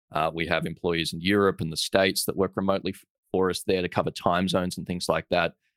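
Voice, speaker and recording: Very fast, monotone speech in an Australian accent, with big swings in loudness, a dry, close sound with no echo, and a very clean recording against a silent background. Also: man, very deep, low pitch for a man. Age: 30s. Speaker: entrepreneur and investor. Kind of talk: interview conversation.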